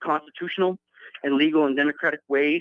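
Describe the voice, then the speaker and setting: This is a man talking. His pitch is fairly high. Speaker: caller. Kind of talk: phone-in call. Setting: phone call. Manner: halting, many fillers and repetitions.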